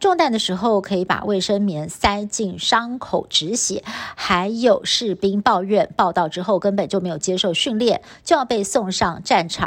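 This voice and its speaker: A woman with a Taiwanese accent speaks at a fairly slow pace with hardly any pauses, her medium pitch showing ordinary variation. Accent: Taiwanese Mandarin. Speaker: news anchor. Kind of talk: news reading. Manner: formal.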